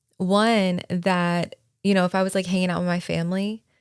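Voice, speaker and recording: A woman's medium-pitched voice at a fairly slow pace, monotone and flat in intonation, with a dry, close sound and no echo. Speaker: podcast co-host. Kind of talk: casual chat. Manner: talkative.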